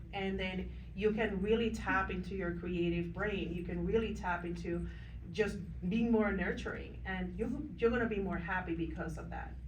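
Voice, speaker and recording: In a non-native accent, a woman speaks at a moderate pace amid noticeable background noise and audible room echo. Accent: foreign. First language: not English. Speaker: business owner, panelist. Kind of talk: panel discussion.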